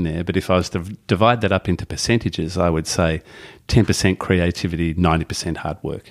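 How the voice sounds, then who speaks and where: A man with an Australian accent speaks at a fairly quick pace in a very deep, low voice with ordinary pitch variation, on a very clean recording with a silent background. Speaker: novelist and former teacher. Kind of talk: casual interview. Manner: halting.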